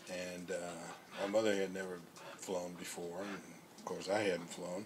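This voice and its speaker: A man with a very deep, low pitch speaks at a moderate pace in a monotone, flat intonation. Audible room echo and noticeable background noise surround him. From US South and military moves (Alabama, Germany). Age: 70s. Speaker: retired high school teacher. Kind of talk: casual interview. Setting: outdoors in a backyard.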